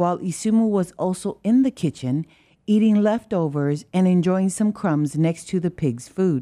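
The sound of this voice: Someone reads in an unforced reading voice.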